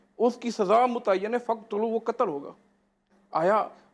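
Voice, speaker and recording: His pitch rises and falls in an ordinary way. The man's voice is high. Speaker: mufti, Islamic scholar. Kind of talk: religious lecture, answering a host's question.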